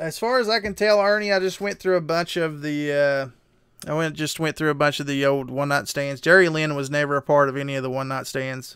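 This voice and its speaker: A fairly high-pitched man with a Southern West Virginia accent, at a fairly quick pace with hardly any pauses. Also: ordinary pitch variation. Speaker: streamer. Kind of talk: casual chat.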